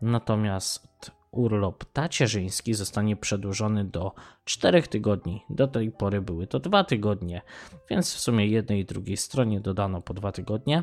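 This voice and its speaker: A man with a plain, everyday voice speaks at a moderate pace and fairly low pitch with ordinary pitch variation, the sound dry and close with no echo and the recording very clean with a silent background. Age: 30s. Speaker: podcaster. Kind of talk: casual monologue.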